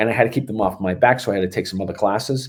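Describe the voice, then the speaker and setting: Someone with a Boston accent speaks at a very fast pace with ordinary pitch variation. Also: man. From Boston, Massachusetts. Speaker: strength and conditioning coach. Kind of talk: podcast interview. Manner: animated.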